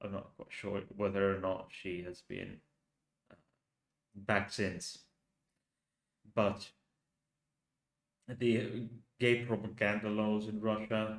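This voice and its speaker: With a fairly low pitch, a man speaks at a very slow pace, leaving long, frequent pauses and showing big swings in loudness. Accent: Finnish. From Finland. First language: Finnish. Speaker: youtuber. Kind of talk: live stream commentary. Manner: halting.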